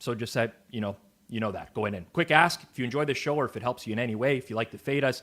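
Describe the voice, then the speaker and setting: Speaking at a very fast pace with a Canadian accent, a man has a medium pitch in a very clean recording with a silent background. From Canada. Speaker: sports betting show host. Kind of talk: sports betting analysis show.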